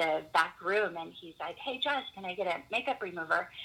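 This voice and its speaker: A woman at medium pitch, with lively intonation and a fairly quick pace. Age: 30s. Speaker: hair and makeup artist and faith coach. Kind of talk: casual chat. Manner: animated.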